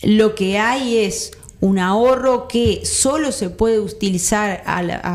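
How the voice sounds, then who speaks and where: An unremarkable speaking voice, its pitch varying in an ordinary way. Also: woman. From Uruguay, Colonia (Carmelo). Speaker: union activist, campaign advocate. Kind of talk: interview. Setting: studio.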